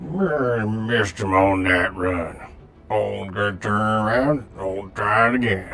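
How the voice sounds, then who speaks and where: Over clear background noise, a man puts on a character voice in a fairly low pitch, speaking at a very slow pace with ordinary pitch variation. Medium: machinima. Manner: terse radio jargon mixed with folksy taunts.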